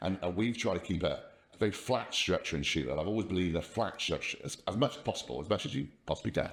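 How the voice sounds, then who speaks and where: Speaking very fast with an English accent, a man uses a very deep, low pitch, lively intonation and vocal fry. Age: 60s. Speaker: company founder. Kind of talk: casual interview. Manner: halting, repeats words.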